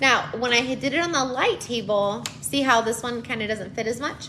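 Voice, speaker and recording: A woman with a high voice speaks at a moderate pace. Noticeable background noise runs behind her. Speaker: preschool teacher and educational content creator. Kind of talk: tutorial. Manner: casual and chatty, with fillers; briefly quiet, near whisper.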